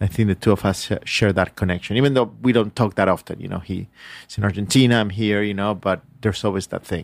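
Very fast and fairly low-pitched, a man speaks with fairly even intonation. The recording is very clean, with a silent background. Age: 40s. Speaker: radio station director and DJ. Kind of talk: interview. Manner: halting.

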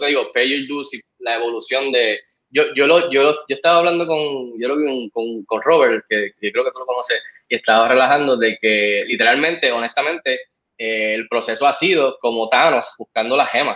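Speaking at a moderate pace, a man has an unremarkable speaking voice, medium pitch, and ordinary pitch variation. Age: 40s. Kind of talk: casual interview.

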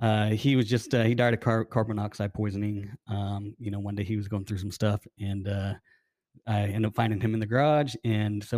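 Very fast speech with an American accent, fairly even intonation, and a dry, close sound free of echo. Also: man. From Arizona. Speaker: ultramarathon runner. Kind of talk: testimony. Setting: studio. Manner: halting, many fillers.

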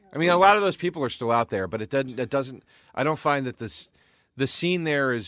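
Against a quiet background, a man with a slight East Coast accent talks at a fairly quick pace, his pitch swinging very widely. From US East Coast. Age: 40s. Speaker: comedian. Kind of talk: casual chat.

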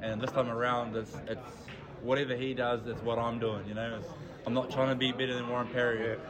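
Against noticeable background noise and audible room echo, a man talks at a fairly quick pace with a New Zealand accent. His pitch is medium and his intonation monotone and flat. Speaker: darts player. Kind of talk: casual interview. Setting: club venue.

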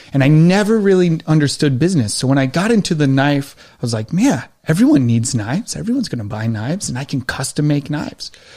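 A man with an American accent talks at a very fast pace with hardly any pauses and lively intonation. His voice is fairly high and somewhat breathy, with a dark, mellow tone. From Western New York. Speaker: army veteran and knife maker. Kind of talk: casual interview.

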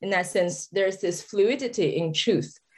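A woman with a Chinese accent and ordinary pitch variation. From China, Sichuan. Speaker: novelist. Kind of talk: interview conversation.

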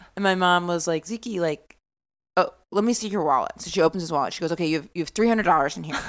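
A woman with an American accent speaks very fast at a fairly low pitch, with ordinary pitch variation and big swings in loudness. The recording is very clean, with a silent background. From rural Maine, US. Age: 30s. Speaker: stand-up comedian. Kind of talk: casual chat.

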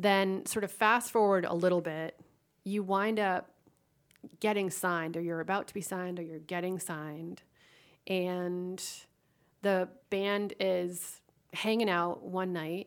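A woman with an American accent, medium pitch, monotone, flat intonation, a fairly slow pace and long, frequent pauses. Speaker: podcast host. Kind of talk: interview. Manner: halting, repeats words.

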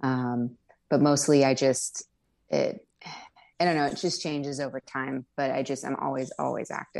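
Very deep, low female voice with an American accent, moderate pace and fairly even intonation against a quiet background. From Riverside, Southern California. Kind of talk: casual chat.

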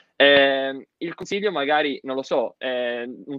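The man's voice sits fairly high in pitch, and his intonation stays fairly even. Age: 20s. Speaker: pharmacy student. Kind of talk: casual interview. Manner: hesitant.

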